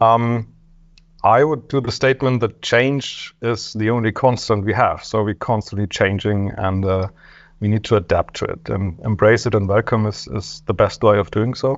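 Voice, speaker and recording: Speaking with a German accent, a man uses a fairly low pitch, ordinary pitch variation and a moderate pace. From Germany. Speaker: software development director. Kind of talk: panel discussion.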